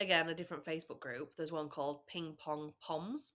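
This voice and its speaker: With a northern English accent, a woman of fairly low pitch speaks at a fairly quick pace in a bright, sharp tone, recorded very cleanly against a silent background. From England. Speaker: podcast guest. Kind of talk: casual chat.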